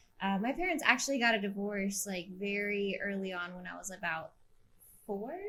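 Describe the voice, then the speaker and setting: With a Midwestern US accent, a woman speaks at a medium pitch in a bright, sharp tone. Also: ordinary pitch variation, moderate pace. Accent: US Midwest. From Kansas City area (Wyandotte County, Kansas). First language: Spanish. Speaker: environmental justice activist. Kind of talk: podcast interview.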